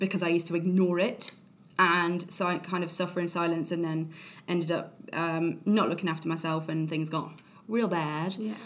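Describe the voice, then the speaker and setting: In a room with audible echo, a woman with an East Midlands accent speaks at a moderate pace, her fairly low pitch held in a flat monotone. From Nottingham, England. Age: 20s. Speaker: actress. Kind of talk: casual chat.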